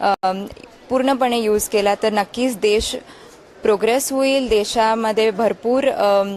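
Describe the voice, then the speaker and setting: Against noticeable background noise, a woman with a fairly high pitch speaks at a very even loudness and with fairly even intonation. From Maharashtra, Chhatrapati Sambhajinagar. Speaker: voter, youth election ambassador. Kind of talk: street interview. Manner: halting with fillers.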